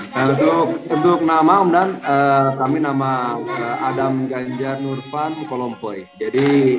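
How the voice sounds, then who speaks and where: With music in the background and audible room echo, the speaker uses a West Javanese accent and ordinary pitch variation. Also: man. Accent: Sundanese. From West Java, Indonesia. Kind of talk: casual interview. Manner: halting, many fillers.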